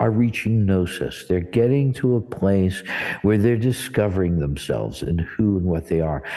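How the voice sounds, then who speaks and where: With an American accent, a man talks in a dark, mellow tone. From New Jersey, US. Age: 60s. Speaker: church director and spiritual teacher. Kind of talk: interview conversation. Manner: casual, conversational with fillers.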